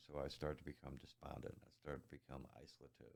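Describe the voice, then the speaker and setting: A soft-spoken voice with vocal fry talks at a moderate pace. The intonation is fairly even. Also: man. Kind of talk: interview answer.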